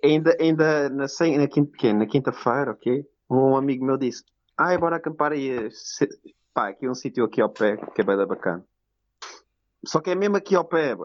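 Speaking with a Lisbon accent, a man uses a fairly high pitch and lively intonation. He keeps a moderate pace broken by long, frequent pauses. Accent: European Portuguese, Lisbon. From Portugal, Lisbon. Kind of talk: casual chat. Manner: loud.

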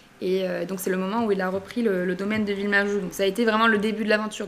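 Over noticeable background noise, a woman of medium pitch talks at a very fast pace in a monotone, flat intonation. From southern France, Narbonne (Languedoc). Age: 20s. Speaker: wine company creative director. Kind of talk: interview.

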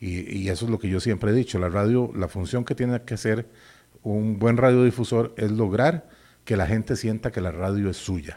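Over a silent background in a very clean recording, a man speaks at a moderate pace with a fairly low pitch, a dark, mellow tone and ordinary pitch variation. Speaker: veteran radio broadcaster. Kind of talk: interview.

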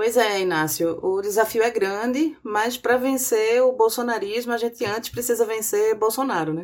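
At a moderate pace, a woman with a plain, everyday voice speaks with ordinary pitch variation. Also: fairly high pitch for a woman, hardly any pauses. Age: 40s. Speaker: podcast host. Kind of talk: political analysis podcast.

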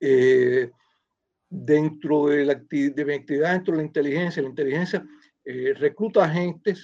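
A man talks with a fairly high voice whose pitch varies in an ordinary way. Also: moderate pace. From Cuba. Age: 60s. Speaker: former intelligence officer. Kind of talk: interview testimony. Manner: halting.

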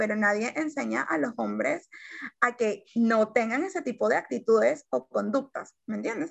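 Speaking at a moderate pace, a woman with a fairly high pitch lets her voice swing very widely in pitch. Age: 20s. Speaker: journalist and activist. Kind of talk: casual interview chat.

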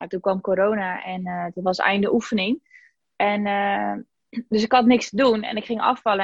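A woman's an ordinary speaking voice, fairly high in pitch, with fairly even intonation and a moderate pace. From Zeeland, Netherlands (Zeeuws-Vlaanderen). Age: 20s. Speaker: podcast guest sharing weight-loss story, social media worker. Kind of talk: casual interview.

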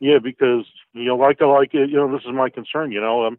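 Intonation stays fairly even throughout. The sound is dry and close with no echo. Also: man, medium pitch for a man, fairly quick pace.

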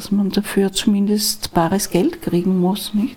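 Soft-spoken and very slow, a woman of medium pitch talks with ordinary pitch variation. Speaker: divorce lawyer. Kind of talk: interview conversation.

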